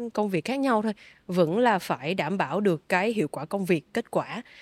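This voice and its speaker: In a normal speaking voice, a woman speaks at medium pitch with lively intonation on a very clean recording with a silent background. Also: dry, close sound with no echo. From Vietnam. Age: 20s. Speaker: triathlete and sports company community manager. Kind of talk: interview.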